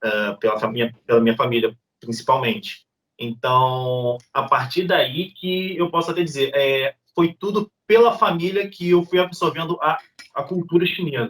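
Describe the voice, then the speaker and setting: Fairly slow delivery in a Rio de Janeiro accent, with very wide pitch swings. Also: man, high pitch for a man. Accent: Rio de Janeiro (carioca). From Brazil, Rio de Janeiro (Niterói). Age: 30s. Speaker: YouTuber. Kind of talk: interview.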